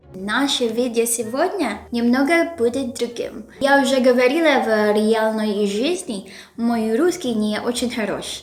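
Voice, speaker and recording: With a Filipino accent, the speaker talks at a very slow pace and with lively intonation, amid audible room echo and noticeable background noise. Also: woman. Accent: Filipino accent in Russian. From Philippines. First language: Filipino (speaking Russian). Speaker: YouTuber, language learner. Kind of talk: scripted vlog intro; casual interview chat.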